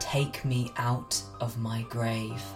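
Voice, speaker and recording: A man does a put-on character voice at a medium pitch, with loud music playing in the background. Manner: pleading.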